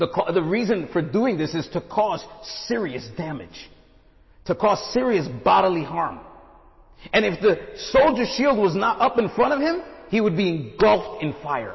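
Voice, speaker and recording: A man with a high voice moves through very wide pitch swings at a moderate pace, leaving long, frequent pauses. Audible room echo surrounds him. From Brooklyn, New York. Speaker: guest preacher, missionary. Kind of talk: sermon.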